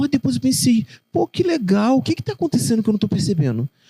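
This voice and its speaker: With a dark, mellow tone and very wide pitch swings, a man speaks very fast in a dry, close recording with no echo. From Rio de Janeiro, Realengo (West Zone). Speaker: poet and children's author. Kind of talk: interview conversation.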